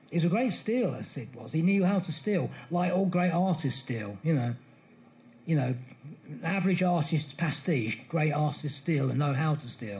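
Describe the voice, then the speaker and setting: With a dark, mellow tone and vocal fry, a man speaks at a moderate pace in a fairly high pitch with lively intonation. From England, Bedfordshire. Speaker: music author. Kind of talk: live interview before an audience.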